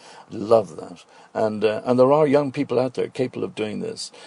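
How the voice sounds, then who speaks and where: A man with a Dublin accent talks at a fairly quick pace. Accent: Dublin Irish. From Ireland, Dublin. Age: 70s. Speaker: restaurant owner and cook. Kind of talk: radio interview.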